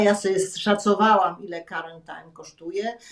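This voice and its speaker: A woman at a moderate pace, in a Polish accent. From Poland. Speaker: former TV channel director. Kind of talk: interview. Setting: video call. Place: home room. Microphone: video call.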